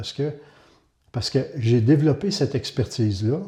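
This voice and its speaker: A man's dark, mellow, somewhat breathy voice, fairly quick with lively intonation. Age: 60s. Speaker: community housing director. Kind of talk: testimony.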